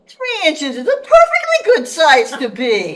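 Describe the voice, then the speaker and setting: A squeaky, high-pitched put-on character voice with very wide pitch swings. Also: moderate pace. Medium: stage play. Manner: terse, questioning.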